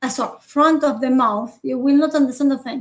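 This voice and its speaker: A woman with a Spanish accent speaks at a high pitch with ordinary pitch variation. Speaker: university phonetics teacher. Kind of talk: online lecture. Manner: frequent fillers and checks like okay.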